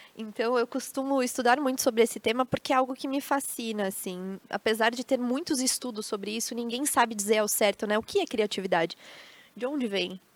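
Pitch moves in an ordinary way. The recording is dry and close, with no echo. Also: woman. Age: 20s. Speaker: tourism account executive and creativity speaker. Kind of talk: casual interview on a live stream. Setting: studio with live audience of family.

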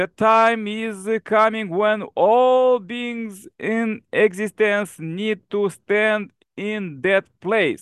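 Very slowly and with hardly any pauses, a man speaks at a high pitch with ordinary pitch variation. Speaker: forum host and prayer leader. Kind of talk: online prayer forum hosting. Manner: earnest, fervent, devotional.

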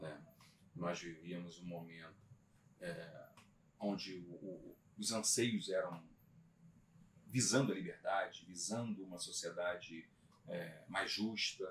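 A man's very deep, low voice at a very slow pace, with long, frequent pauses and ordinary pitch variation. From Brazil, Magé (Baixada Fluminense, Rio de Janeiro state). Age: 50s. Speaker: lawyer. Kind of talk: casual interview chat.

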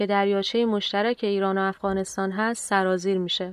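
A woman's medium-pitched, monotone voice with flat intonation at a moderate pace. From Iran. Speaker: podcast host. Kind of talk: scripted narration. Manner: formal.

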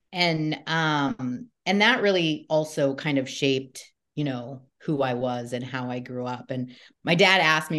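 Against a quiet background, a woman talks with a Southern Californian accent. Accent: Southern California American. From US West Coast, Southern California. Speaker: comedian and podcast host. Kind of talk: casual interview chat.

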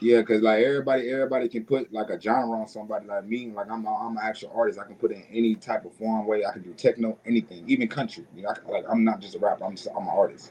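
Speaking very fast with hardly any pauses, a man with an American accent shows ordinary pitch variation and big swings in loudness over noticeable background noise. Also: medium pitch for a man. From US South, Mississippi. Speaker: rapper. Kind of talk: casual interview.

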